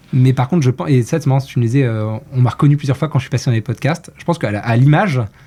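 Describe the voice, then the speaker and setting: Talking at a very fast pace with hardly any pauses, a man uses a medium pitch with ordinary pitch variation and a dark, mellow, somewhat breathy tone. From Brittany, France. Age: 30s. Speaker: marketing executive. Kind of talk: casual interview.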